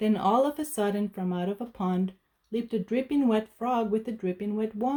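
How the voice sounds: Over a quiet background, a natural reading voice moves with ordinary pitch variation.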